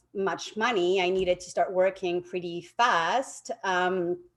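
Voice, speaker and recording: A woman with a French accent, at a very slow pace. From France, Paris. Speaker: realtor. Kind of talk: interview.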